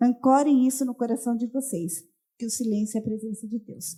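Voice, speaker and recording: This woman's fairly high voice has a dark, mellow tone, moving at a moderate pace with ordinary pitch variation. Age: 60s. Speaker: physiotherapist and beauty professional in audience. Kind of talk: audience remark at live podcast.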